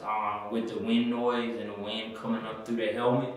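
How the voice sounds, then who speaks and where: A man is speaking in a room with strong echo. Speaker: product reviewer. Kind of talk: product review talk. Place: home room.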